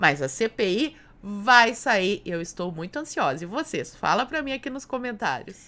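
Her bright, sharp tone sounds animated, with very wide pitch swings. This woman talks at a fairly slow pace. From Brazil. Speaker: political YouTuber. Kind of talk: political commentary video. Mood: sarcastic, critical. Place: home room.

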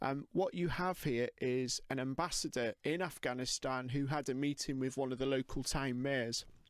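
A man's medium-pitched voice with a British accent, hardly any pauses, a dry, close sound with no echo, and a very clean recording over a silent background. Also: fairly even intonation, moderate pace, very even loudness. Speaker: co-host, UFO researcher. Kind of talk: casual chat. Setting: studio.

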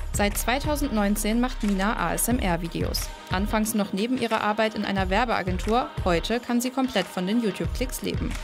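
Over music in the background, a woman with a fairly high pitch talks at a moderate pace with hardly any pauses, very even loudness, and ordinary pitch variation. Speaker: TV reporter. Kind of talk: TV report narration.

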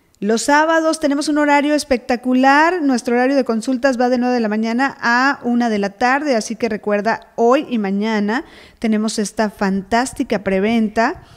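A woman with a high pitch and animated tone talks at a moderate pace with hardly any pauses and ordinary pitch variation, in a very clean recording with a silent background. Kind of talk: casual chat.

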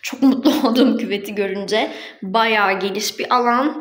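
This woman speaks with fairly even intonation. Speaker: vlogger. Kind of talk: casual vlog chat, room tour. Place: bathroom. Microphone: phone near.

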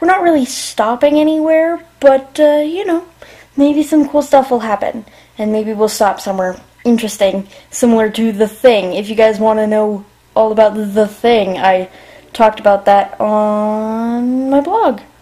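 A woman's dark, mellow tone with lively intonation and a moderate pace. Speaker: vlogger. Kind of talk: casual vlog chat. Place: home room. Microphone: phone near.

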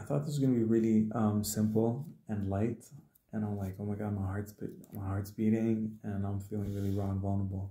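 A man's somewhat breathy voice, dark and mellow in tone and fairly low in pitch, at a fairly quick pace with fairly even intonation and audible room echo. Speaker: spiritual healer and musician; video blogger. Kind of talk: solo livestream monologue. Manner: casual, hesitant with fillers. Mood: earnest, emotionally raw. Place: home room. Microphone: phone near.

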